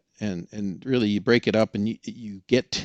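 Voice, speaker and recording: Against a quiet background, a man speaks in an ordinary speaking voice at medium pitch and a moderate pace. The sound is dry and close, with no echo. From Oregon. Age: 60s. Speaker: experienced canyon hiker. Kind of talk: podcast interview.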